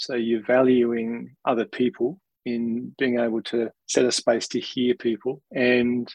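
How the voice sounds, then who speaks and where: Very slowly, a man speaks with an Australian accent at a medium pitch. The sound is dry and close, with no echo. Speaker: senior leader in a nonprofit. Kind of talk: interview conversation.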